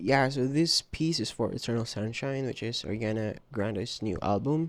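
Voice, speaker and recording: A man speaks at a moderate pace. His pitch is medium with ordinary variation. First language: not English. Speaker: digital artist. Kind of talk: casual voiceover narration of art process. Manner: hesitant, many filler ums; casual, repetitive phrasing.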